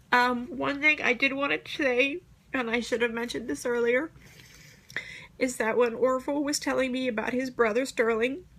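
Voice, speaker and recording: Her voice sits high in pitch. The woman's intonation stays fairly even. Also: moderate pace. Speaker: nursing student. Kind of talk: class presentation.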